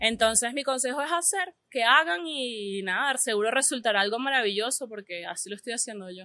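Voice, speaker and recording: A normal speaking voice from a woman, fairly high in pitch, at a fairly quick pace with hardly any pauses and big swings in loudness. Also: lively intonation. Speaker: artist. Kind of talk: casual interview. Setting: café.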